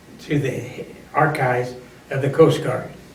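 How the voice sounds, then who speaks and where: A man at a fairly high pitch, with fairly even intonation and a moderate pace, is heard through noticeable background noise. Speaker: WWII Coast Guard veteran. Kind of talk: interview answer.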